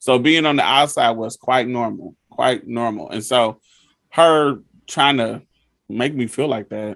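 A man speaks with a Southern US accent at a medium pitch. His intonation is fairly even. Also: fairly slow pace. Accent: Southern, heard as country. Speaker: podcast host. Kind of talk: casual chat.

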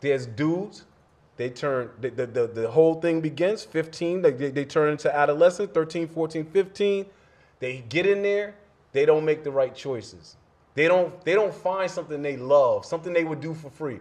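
A man's ordinary speaking voice, fairly high in pitch, at a moderate pace with ordinary pitch variation. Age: 40s. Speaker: motivational speaker and social worker. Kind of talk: casual chat.

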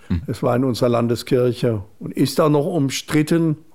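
With an unremarkable speaking voice, a man talks at a medium pitch and ordinary pitch variation, captured in a very clean recording against a silent background. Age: 60s. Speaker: bishop. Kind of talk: radio interview.

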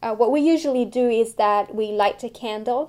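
In a dark, mellow tone, a woman speaks at a fairly slow pace with ordinary pitch variation. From France. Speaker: artist and history doctoral student. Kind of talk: personal testimony and historical account. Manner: hesitant, many fillers.

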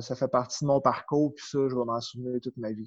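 In a Quebec accent, a man speaks with a dark, mellow tone and fairly even intonation. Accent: Québécois French. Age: 30s. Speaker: power skating coach. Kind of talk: interview.

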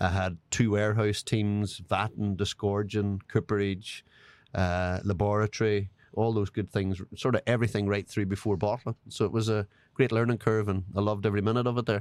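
In a very clean recording with a silent background and a dry, close sound without echo, a man speaks in a monotone with flat intonation, very even loudness, and a fairly low pitch. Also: moderate pace. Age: 40s. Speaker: master distiller. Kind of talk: casual interview chat.

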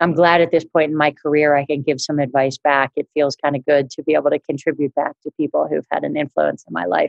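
A woman with an American accent talks at a very fast pace with hardly any pauses, in a very deep, low voice with vocal fry and fairly even intonation. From New Jersey, Margate. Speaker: finance executive. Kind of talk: interview.

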